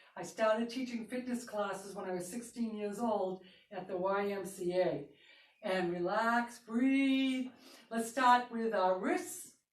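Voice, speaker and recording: Speaking at a fairly slow pace, a woman with a fairly high pitch and ordinary pitch variation is heard with audible room echo. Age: 60s. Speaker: fitness instructor. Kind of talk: fitness class instruction. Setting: live broadcast.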